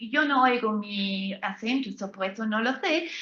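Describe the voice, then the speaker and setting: Audible room echo surrounds a woman with a German accent who speaks fairly slowly at a fairly high pitch, her bright, sharp tone marked by lively intonation. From Germany. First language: German (speaking Spanish). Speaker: law professor. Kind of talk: lecture. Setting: lecture hall with live and online audience. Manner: halting.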